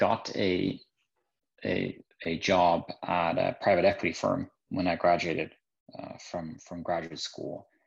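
In a Norwegian accent, a man speaks at a very slow pace with long, frequent pauses. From Norway. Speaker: business manager. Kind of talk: interview. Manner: halting, many fillers and repeats.

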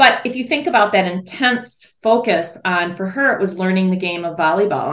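A woman with an American accent has an unremarkable speaking voice and ordinary pitch variation. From US Midwest, Michigan's Upper Peninsula. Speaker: mother of athletes. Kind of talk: interview conversation.

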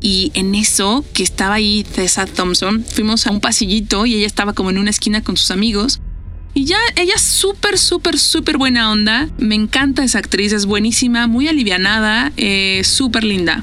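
A fairly high female voice at very even loudness over noticeable background noise. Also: ordinary pitch variation, moderate pace. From Mexico. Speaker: podcast host. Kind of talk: casual monologue. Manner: animated.

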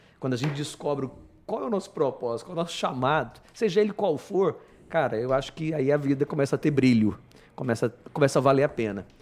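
A man with a fairly high pitch at a very fast pace. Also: lively intonation. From Brazil, born Paraná, raised partly Goiás. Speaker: company manager and Disney excellence program speaker. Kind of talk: casual interview chat.

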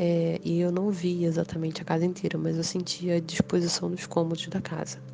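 Fairly quick speech from a woman against noticeable background noise. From Rio de Janeiro, Brazil. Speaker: storyteller sharing supernatural experiences. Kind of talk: personal testimony.

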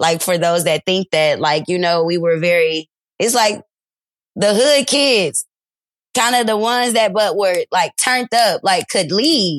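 Speaking at a fairly slow pace in an ordinary speaking voice, a woman with an American accent has a medium pitch and lively intonation. Her loudness stays very even, and the sound is dry and close with no echo. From Detroit, Michigan. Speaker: teacher and social media creator. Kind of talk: interview testimony.

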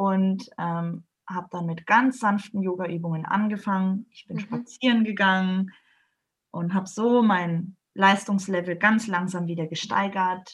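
The voice is somewhat breathy, moving at a fairly slow pace with fairly even intonation and big swings in loudness. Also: woman, medium pitch for a woman. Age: 30s. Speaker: yoga trainer. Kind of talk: interview.

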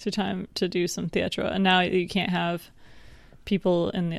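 This woman's voice has vocal fry. The recording is very clean, with a silent background. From New York State. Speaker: podcast co-host. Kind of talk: casual chat. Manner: joking, bantering.

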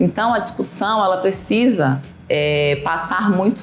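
Her intonation lively, a woman speaks over noticeable background noise. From Salvador, Bahia, Brazil. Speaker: public auditor and researcher. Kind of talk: radio interview.

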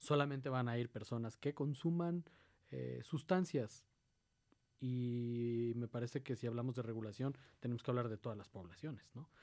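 A man's medium-pitched voice, dark and mellow in tone, with ordinary pitch variation and a moderate pace. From Mexico City. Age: 30s. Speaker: politician. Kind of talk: radio interview.

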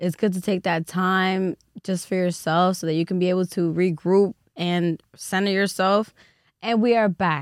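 A woman talks with monotone, flat intonation. The sound is dry and close with no echo, on a very clean recording with a silent background. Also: medium pitch for a woman, moderate pace. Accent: New York. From the Bronx, New York. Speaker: podcast host. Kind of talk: casual chat.

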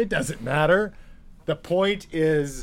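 This man has an unremarkable speaking voice at a fairly high pitch. He talks at a fairly slow pace. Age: 40s. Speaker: podcast co-host. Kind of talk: casual chat.

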